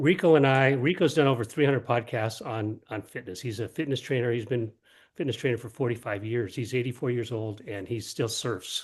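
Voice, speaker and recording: A man speaks at a medium pitch and fairly quick pace. His voice is somewhat breathy. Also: ordinary pitch variation. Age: 70s. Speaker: wellness advocate. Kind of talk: panel discussion.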